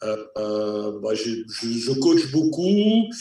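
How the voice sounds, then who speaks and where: Amid audible room echo, a man with a slight Belgian accent speaks with ordinary pitch variation. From Belgium. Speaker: improv actor and coach. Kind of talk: casual chat.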